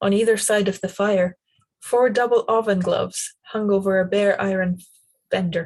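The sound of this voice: Quiet background behind an unforced reading voice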